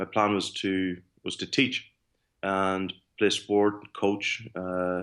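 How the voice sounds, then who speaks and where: A man talks in monotone, flat intonation with an Irish accent. The recording is very clean, with a silent background. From Ireland. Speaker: sports performance director. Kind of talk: podcast interview.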